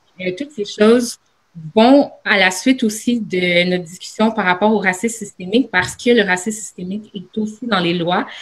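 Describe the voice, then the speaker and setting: At a fairly slow pace, a woman with a medium-pitched, somewhat breathy voice speaks with ordinary pitch variation. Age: young. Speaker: university student, panelist. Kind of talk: panel discussion.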